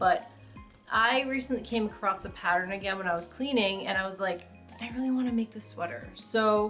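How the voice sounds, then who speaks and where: Music plays in the background while a woman speaks with ordinary pitch variation. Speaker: crafter. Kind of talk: casual talk to camera.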